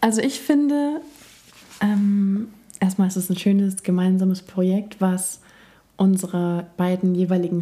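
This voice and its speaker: At a fairly slow pace, a woman speaks in a dark, mellow tone at medium pitch with ordinary pitch variation. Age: 30s. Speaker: journalist and yoga teacher. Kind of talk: casual chat.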